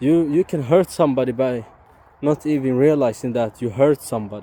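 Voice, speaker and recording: Speaking with a non-native accent, a man moves at a fairly quick pace with a medium pitch and ordinary pitch variation, in a dry, close sound with no echo. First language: not English. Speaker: YouTuber. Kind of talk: casual vlog monologue. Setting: outdoors, walking in forest. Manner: halting, stumbles on words.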